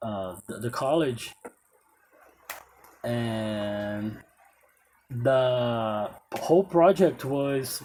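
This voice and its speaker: This man speaks with a Portuguese accent. His pitch is medium. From Brazil. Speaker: English teacher. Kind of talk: casual talk to camera. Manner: halting.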